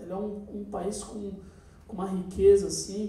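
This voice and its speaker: A man talks in a high voice. The room has audible echo. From Brazil. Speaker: musician. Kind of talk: workshop talk to students. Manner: hesitant, many fillers. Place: stage.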